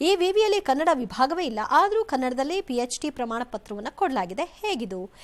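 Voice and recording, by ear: A woman with a high pitch and lively intonation speaks at a moderate pace.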